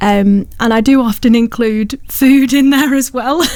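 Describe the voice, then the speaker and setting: A woman in a Lancashire accent, with ordinary pitch variation, over noticeable background noise. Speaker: poet. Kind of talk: radio interview. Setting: radio studio.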